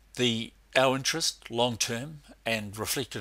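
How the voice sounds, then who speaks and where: A man talks at a moderate pace in a bright, sharp tone, captured in a very clean recording with a silent background. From New Zealand. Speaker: academic researcher. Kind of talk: conference presentation.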